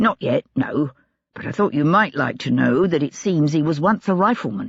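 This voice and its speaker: A raspy, put-on character voice speaks at a middle pitch and a moderate pace. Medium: read story. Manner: polite, businesslike.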